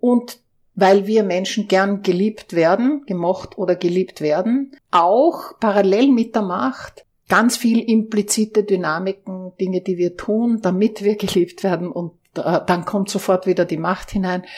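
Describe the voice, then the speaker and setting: A woman at medium pitch, fairly slow, an ordinary speaking voice with ordinary pitch variation. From Austria. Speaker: organizational consultant. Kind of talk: interview.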